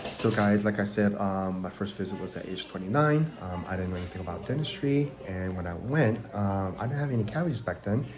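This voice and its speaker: A man with a fairly low voice speaks at a fairly quick pace with hardly any pauses. Noticeable background noise and audible room echo fill the recording. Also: ordinary pitch variation. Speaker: dental hygienist. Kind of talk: casual vlog. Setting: dental chair. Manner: loud.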